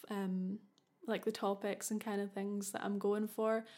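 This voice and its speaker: In a Scottish accent, a woman speaks at a fairly high pitch with monotone, flat intonation. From Scotland. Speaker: podcast host. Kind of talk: casual monologue.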